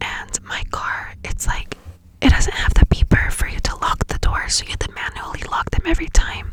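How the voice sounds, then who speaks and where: Whispering at a moderate pace, a woman makes big swings in loudness over noticeable background noise. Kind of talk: ASMR whisper ramble. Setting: inside a parked car. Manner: whispered, soft-spoken.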